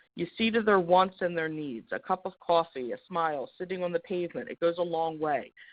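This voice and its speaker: With an American accent, a woman with a fairly low pitch and ordinary pitch variation speaks at a fairly quick pace with hardly any pauses. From Philadelphia, US. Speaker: housing program presenter. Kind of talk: webinar presentation. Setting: webinar. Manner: fast.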